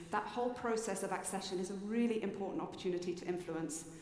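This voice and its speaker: With a British accent, a woman talks at a fairly quick pace in medium pitch and fairly even intonation, amid audible room echo and noticeable background noise. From Britain. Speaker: children's rights advocate. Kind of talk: conference talk.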